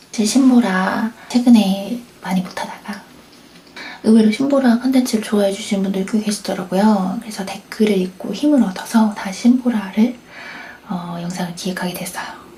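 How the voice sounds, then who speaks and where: Soft-spoken and calm, gentle in tone, a woman talks at a moderate pace and medium pitch with fairly even intonation over noticeable background noise. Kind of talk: late-night radio-style chat, ASMR talk to camera. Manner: calm, soft-spoken, gentle.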